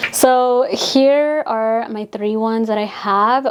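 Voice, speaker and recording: An animated voice speaks with a Spanish accent and ordinary pitch variation. Noticeable background noise runs underneath. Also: woman. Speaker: beauty influencer, retired makeup artist. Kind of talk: casual vlog showing a perfume collection. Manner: chatty, animated.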